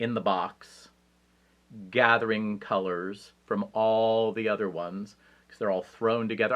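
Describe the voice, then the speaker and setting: An ordinary speaking voice delivers the words with fairly even intonation. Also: man. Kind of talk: casual talk to camera. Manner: rambling, humorous.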